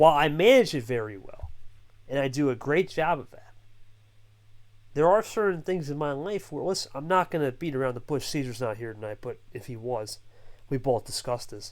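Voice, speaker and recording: A man with an American accent speaks in a fairly high, animated voice with lively intonation. His pace is moderate, and the recording is very clean with a silent background. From New Jersey. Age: 20s. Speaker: online league founder. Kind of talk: interview.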